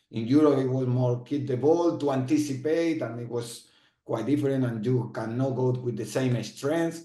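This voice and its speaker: The voice has a dark, mellow tone in a Spanish accent. Its intonation stays fairly even. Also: man, medium pitch for a man, moderate pace. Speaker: former footballer and football manager. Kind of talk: interview. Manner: halting, with frequent repetitions.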